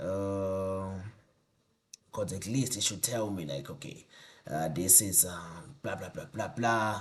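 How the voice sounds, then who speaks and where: Audible room echo surrounds a man who speaks very slowly in a very deep, low voice, with ordinary pitch variation and long, frequent pauses. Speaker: tech YouTuber. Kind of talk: tutorial. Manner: mumbling; halting, thinking aloud.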